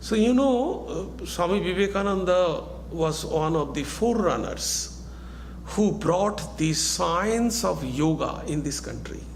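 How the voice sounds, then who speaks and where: A man's very slow speech, with audible room echo and noticeable background noise. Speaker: monk and spiritual teacher. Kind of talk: lecture.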